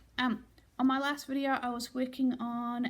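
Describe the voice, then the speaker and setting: A high-pitched woman's voice in a New Zealand accent. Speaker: crafting vlogger. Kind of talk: casual vlog update. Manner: casual with fillers.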